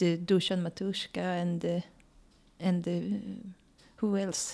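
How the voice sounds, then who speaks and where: A dark, mellow tone with a Swedish accent and monotone, flat intonation, in a very clean recording with a silent background. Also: woman. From Sweden. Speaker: scientist and traveling parent. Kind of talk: interview.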